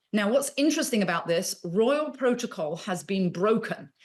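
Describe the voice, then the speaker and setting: Speaking at a moderate pace against a quiet background, a woman talks in a British accent. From England. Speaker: royal expert. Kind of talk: interview answer, news commentary.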